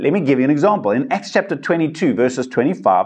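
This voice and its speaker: Very wide pitch swings and vocal fry from a man. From South Africa. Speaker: pastor. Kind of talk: teaching podcast monologue. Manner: casual, conversational.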